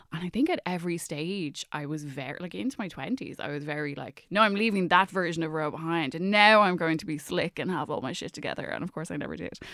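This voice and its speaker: A woman with an Irish accent, fairly low in pitch, bright and sharp in tone, very fast with hardly any pauses and big swings in loudness, on a very clean recording with a silent background. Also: ordinary pitch variation. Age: 30s. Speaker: writer and journalist. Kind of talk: casual chat.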